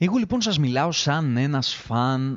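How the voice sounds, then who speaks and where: A man with lively intonation. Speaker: podcast host. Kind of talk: solo monologue review. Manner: animated.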